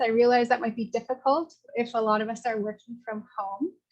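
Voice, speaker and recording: A woman with a high-pitched voice. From Northwest Territories, Canada (Sahtu region, Dene). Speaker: project coordinator and consultant facilitating a session. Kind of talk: online info session facilitation.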